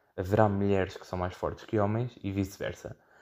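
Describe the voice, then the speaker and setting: A man with a European Portuguese accent speaks in a fairly low, dark, mellow voice, captured in a very clean recording over a silent background. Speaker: podcast host. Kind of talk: solo monologue. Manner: halting with frequent fillers and repetitions.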